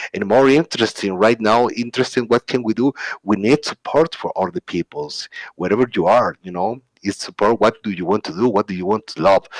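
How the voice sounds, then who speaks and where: The speech moves at a fairly quick pace in a dry, close sound with no echo. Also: man. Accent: Spanish. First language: Spanish. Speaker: open source community speaker. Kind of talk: conference talk. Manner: halting.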